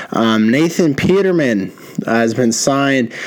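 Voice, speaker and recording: Over noticeable background noise, a man with a medium pitch talks in an animated tone at a fairly slow pace, his pitch swinging very widely. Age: 20s. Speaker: podcast host. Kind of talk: casual monologue.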